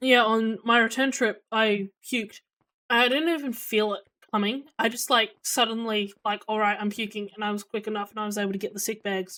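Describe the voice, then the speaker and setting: Loud and fairly high-pitched, a woman with an Australian accent speaks with a bright, sharp tone and fairly even intonation. The recording is very clean, with a silent background. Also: fairly quick pace. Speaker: streamer. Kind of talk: casual chat. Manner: hesitant, many fillers.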